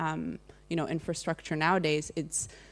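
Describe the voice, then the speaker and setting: In a Czech accent, a woman speaks at a fairly quick pace with a very deep, low pitch and monotone, flat intonation, captured on a very clean recording with a silent background. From Czech Republic. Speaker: digital rights advocate. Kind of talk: panel discussion. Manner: halting, many fillers.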